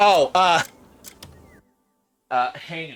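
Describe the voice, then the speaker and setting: A man with a high-pitched voice. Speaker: video game streamer. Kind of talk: casual live stream commentary. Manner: loud, yelling at times; animated.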